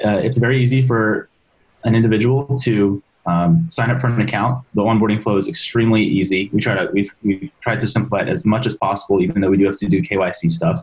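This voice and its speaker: A man speaks at a fairly quick pace in a fairly low pitch, somewhat breathy. His loudness stays very even, with ordinary pitch variation. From US, Maryland. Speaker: company founder and CEO; guest. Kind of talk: interview. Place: home room. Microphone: webcam.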